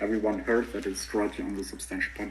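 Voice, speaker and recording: A man with a non-native accent. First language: not English. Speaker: online debater. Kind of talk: heated debate. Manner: loud.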